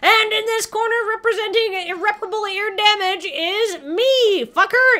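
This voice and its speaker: A put-on character voice from a woman, pitched extremely high, moving at a moderate pace. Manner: theatrical, aggressive, mocking.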